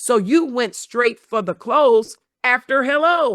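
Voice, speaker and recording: In an animated tone, a woman speaks with a high pitch and ordinary pitch variation, on a very clean recording with a silent background and a dry, close sound with no echo. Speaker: body language and sales expert, keynote speaker. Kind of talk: interview with live demonstrations.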